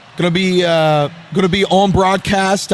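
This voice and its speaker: With a Louisiana accent, a man speaks at a very slow pace in a high pitch, his intonation fairly even. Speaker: sports show host. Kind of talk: live watch party commentary. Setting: restaurant venue.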